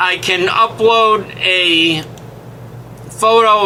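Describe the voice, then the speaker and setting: Pitched high, a man's raised, projected voice carries fairly even intonation amid noticeable background noise and audible room echo. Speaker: web platform trainer. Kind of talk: screen-share tutorial. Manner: casual, halting with fillers.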